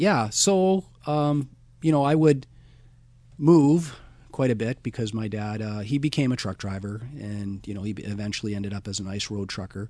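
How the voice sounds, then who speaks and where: Speaking with a Canadian accent, a man uses a medium pitch and lively intonation at a moderate pace. His tone is dark and mellow, with big swings in loudness. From British Columbia, Canada. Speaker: school educator. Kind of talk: interview.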